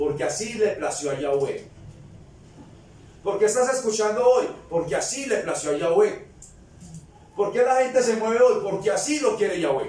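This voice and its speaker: Over noticeable background noise and audible room echo, a man speaks at a high pitch with lively intonation, keeping a moderate pace broken by long, frequent pauses. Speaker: preacher. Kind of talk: sermon. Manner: animated.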